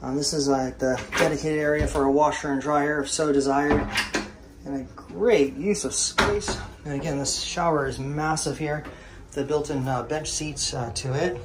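At a moderate pace, a man talks in a fairly high pitch with fairly even intonation and faint background noise behind him.

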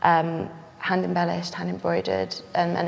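Over faint background noise, a woman with a fairly low pitch and vocal fry speaks at a moderate pace with ordinary pitch variation.

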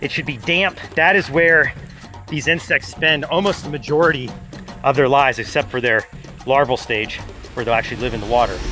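A man talks at a fairly quick pace, with clear music playing in the background. The sound is dry, with no echo. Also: ordinary pitch variation. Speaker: wildlife show host. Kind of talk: presenter commentary. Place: forest.

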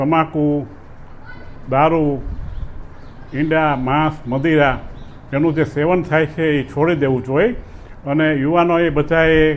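With audible room echo, a man talks at a fairly high pitch. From Saurashtra, Gujarat. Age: 70s. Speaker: folk storyteller and ayurvedic doctor. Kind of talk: interview.

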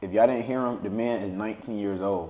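With fairly even intonation, the man talks at a fairly low pitch. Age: young. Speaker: podcast host. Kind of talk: casual chat. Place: home room.

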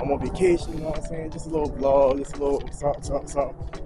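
A man speaks with music in the background, the sound dry with no echo. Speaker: vlogger. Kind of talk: casual vlog chat. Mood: relaxed, upbeat. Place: street. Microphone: phone near.

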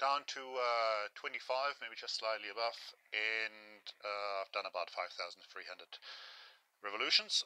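Against a quiet background, a man speaks at a fairly slow pace with a bright, sharp tone and fairly even intonation, the sound dry with no echo. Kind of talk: tutorial. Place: workshop. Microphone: phone near.

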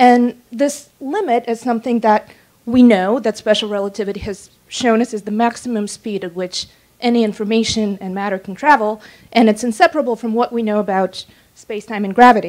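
Against a quiet background, a woman talks at a fairly quick pace in an ordinary speaking voice, fairly high in pitch with ordinary variation and big swings in loudness. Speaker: writer. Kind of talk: lecture. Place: hall. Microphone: handheld.

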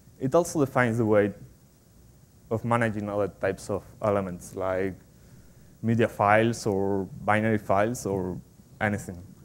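In a Spanish accent, a man talks at a fairly slow pace with a medium pitch. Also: long, frequent pauses. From Spain. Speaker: software developer, conference speaker. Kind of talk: technical conference talk. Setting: stage with audience. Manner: halting, with frequent fillers and repetitions. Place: hall. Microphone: podium.

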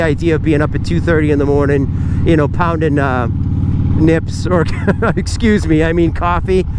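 Loud background noise sits behind a man whose voice sounds dry, with no echo. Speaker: motovlogger. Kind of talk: casual talk to camera while riding. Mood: relaxed, joking. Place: motorbike.

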